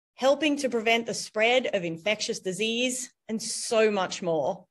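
The woman's intonation is lively as she talks. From Australia. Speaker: university dean and biologist. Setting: video call. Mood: warm, smiling. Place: office. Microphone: video call.

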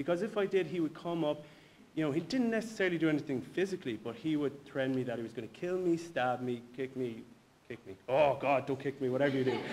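Talking at a very fast pace with a Galway accent, a man uses a fairly high pitch and lively intonation over light background noise. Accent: Galway Irish. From Ireland, Galway; Ireland. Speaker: personal trainer and bodybuilder; personal trainer. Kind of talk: personal testimony. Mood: reflective, personal story. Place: hall.

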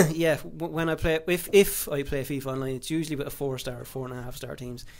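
At a fairly quick pace, a man with an Irish accent speaks at a fairly high pitch with ordinary pitch variation. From Ireland. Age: 20s. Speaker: gaming YouTuber. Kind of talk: casual vlog monologue. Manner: halting, many fillers and restarts.

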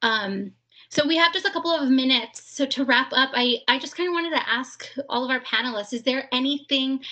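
Her voice raised and projected, a woman speaks at a moderate pace in a high pitch with a bright, sharp tone and ordinary pitch variation against a quiet background. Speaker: webinar moderator. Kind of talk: moderated panel discussion. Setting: video call. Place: home room. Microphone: video call.

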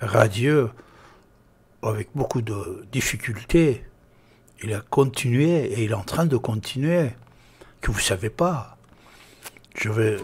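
A man speaks with lively intonation and a somewhat breathy voice, leaving long, frequent pauses. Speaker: radio show host. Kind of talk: radio show talk to listeners. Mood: grateful, sentimental. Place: studio. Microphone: studio mic.

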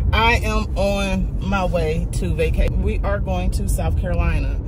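Loud background noise sits behind a woman's voice, which sounds dry with no echo. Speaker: travel vlogger. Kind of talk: casual vlog chat. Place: car. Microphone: phone near.

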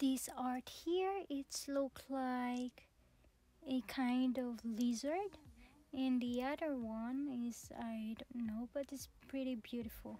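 A woman with a high pitch and a dark, mellow tone speaks at a slow pace with ordinary pitch variation.

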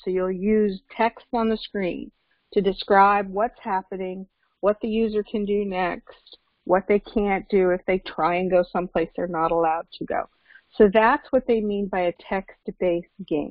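Fairly slow and with fairly even intonation, a woman speaks against a quiet background in a dry sound with no echo. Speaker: course instructor. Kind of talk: lecture. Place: home room. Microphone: video call.

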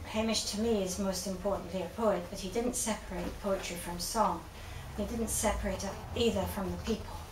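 Against noticeable background noise, a woman talks at a fairly quick pace in a flat monotone. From Scotland. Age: old. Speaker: event organiser introducing a lecture. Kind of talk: introductory speech to a live audience. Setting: event hall with audience. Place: shop.

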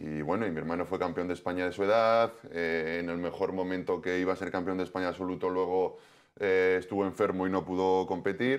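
Very deep, low pitch from a man, fairly even intonation, and a quiet background. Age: 40s. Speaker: professional football goalkeeper; guest. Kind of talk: TV sports interview. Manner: halting, many repetitions. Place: studio. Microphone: lapel.

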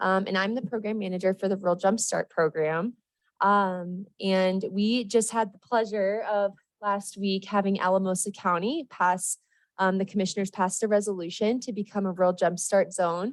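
A woman with a medium pitch talks in a fairly even intonation on a very clean recording with a silent background. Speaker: state economic development program manager. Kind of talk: public comment presentation at council meeting. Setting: city council meeting room. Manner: fast; hesitant, many filler ums.

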